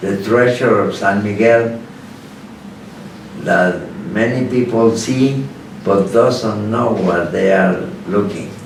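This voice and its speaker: Amid noticeable background noise and audible room echo, a man with a Spanish accent speaks very slowly at a medium pitch, with long, frequent pauses. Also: fairly even intonation. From Mexico, Guanajuato. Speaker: lawyer. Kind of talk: interview. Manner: halting.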